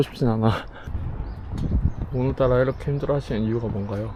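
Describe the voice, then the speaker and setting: Amid noticeable background noise, a man talks at a very fast pace. His pitch varies in an ordinary way. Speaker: running vlogger. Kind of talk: casual vlog chat while running. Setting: outdoors on a running path.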